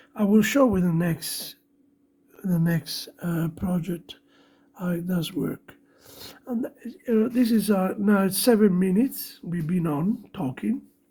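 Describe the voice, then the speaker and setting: At a very slow pace, a woman speaks in a somewhat breathy voice. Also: medium pitch for a woman, ordinary pitch variation. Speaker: electronics hobbyist / maker. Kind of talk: tutorial. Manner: halting.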